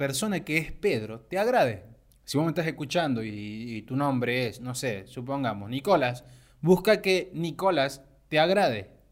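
A man's fairly high-pitched, plain, everyday voice at a moderate pace, with lively intonation, on a very clean recording with a silent background. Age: 20s. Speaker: podcaster, animation student. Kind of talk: motivational monologue.

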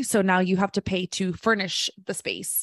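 A woman with an American accent and an unremarkable speaking voice, medium in pitch, moderate in pace and fairly even in intonation, on a very clean, dry, close recording with no echo and a silent background. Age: 30s. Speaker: real estate investor and YouTuber. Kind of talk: interview conversation.

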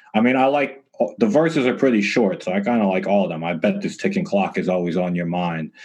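A man's fairly low pitch, with ordinary variation, comes in a normal speaking voice. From Canada, Toronto. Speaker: music producer and engineer. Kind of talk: interview. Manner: casual, relaxed.

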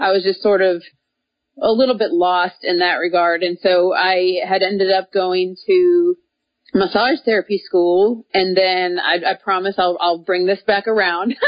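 Speaking at a fairly slow pace with a normal speaking voice, a woman with an American accent keeps a medium pitch, fairly even intonation and very even loudness. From Minnesota, US Midwest. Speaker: professional cyclist, former runner. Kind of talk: interview.

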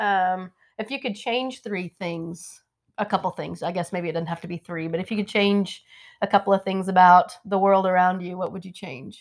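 A woman with an American accent uses a normal speaking voice at medium pitch and a moderate pace. Her loudness swings widely. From Missouri Ozarks. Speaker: faith ministry representative and podcast host. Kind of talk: scripted personal narration; casual interview.

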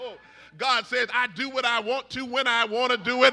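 Over noticeable background noise, a man with an extremely high pitch uses a raised, projected voice and an animated tone. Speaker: preacher. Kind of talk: sermon. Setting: church with congregation. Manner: call-and-response, rousing, fervent; animated, exhorting the congregation.

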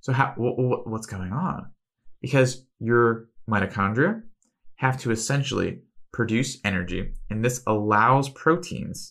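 The recording is very clean, with a silent background. A man with a medium pitch speaks in an animated tone. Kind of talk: solo health podcast monologue. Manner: fast.

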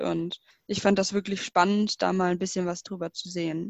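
This woman's medium-pitched voice is monotone and flat, moving at a moderate speed. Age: 20s. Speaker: student volunteer. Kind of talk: interview. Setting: video call.

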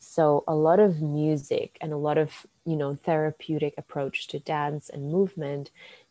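A woman with a Finnish accent speaks fairly slowly in a very deep, low voice with a dark, mellow tone and fairly even intonation, the sound dry and close with no echo. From Finland. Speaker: dance and bodywork practitioner. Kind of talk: casual interview.

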